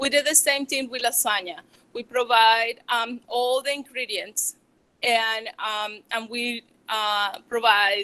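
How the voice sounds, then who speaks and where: With a strong Venezuelan accent, a woman speaks at a fairly high pitch in a bright, sharp tone, her intonation fairly even. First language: Spanish. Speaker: small business owner, chocolatier. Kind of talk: public talk. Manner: halting, many fillers.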